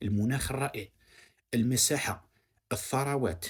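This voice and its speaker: A man's somewhat breathy voice, medium in pitch, goes at a moderate pace with ordinary pitch variation. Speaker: online commentator. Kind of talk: video commentary monologue. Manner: halting, with repeated false starts.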